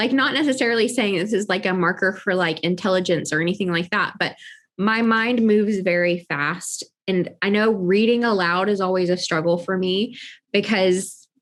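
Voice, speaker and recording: A woman at a medium pitch and moderate pace, with ordinary pitch variation, very even loudness and a quiet background. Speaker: podcast host. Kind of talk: casual chat. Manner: articulate.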